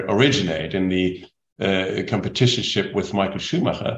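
A man with a German accent. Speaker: podcast host, speaker agency head. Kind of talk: interview.

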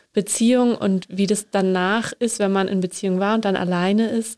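In a medium pitch, a woman speaks with monotone, flat intonation. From northern Germany. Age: 30s. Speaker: podcast host, theology trainee. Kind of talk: interview.

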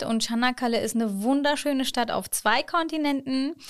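A woman talks at a moderate pace in a high pitch with ordinary pitch variation. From born in Hannover, Germany; moved to Çanakkale, Turkey at 11. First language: Turkish (speaking German). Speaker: city ambassador and education counselor. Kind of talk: casual interview.

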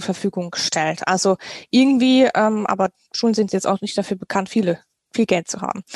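A woman's medium-pitched voice at a moderate pace with ordinary pitch variation, in a dry, close sound with no echo. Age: 30s. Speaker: teacher and party policy member. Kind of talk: podcast interview. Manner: hesitant, many fillers.

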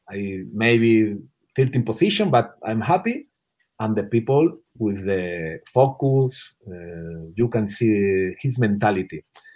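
The speaker talks very slowly in a Spanish accent. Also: man, fairly low pitch for a man, ordinary pitch variation. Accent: non-native English, Spanish. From Spain. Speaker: water polo national team coach. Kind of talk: interview. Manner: halting.

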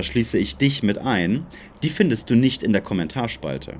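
This man's speech has very wide pitch swings and vocal fry, delivered at a moderate pace. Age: 30s. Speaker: podcast co-host. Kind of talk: casual chat.

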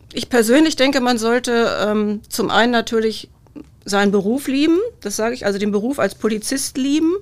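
In a very clean recording with a silent background, a woman with fairly high pitch talks at a moderate pace using ordinary pitch variation. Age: 50s. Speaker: police press officer. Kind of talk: casual chat.

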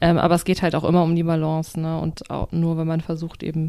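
A woman's fairly low, dark, mellow voice at a very fast pace. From Germany. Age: 30s. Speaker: podcast co-host. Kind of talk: casual chat.

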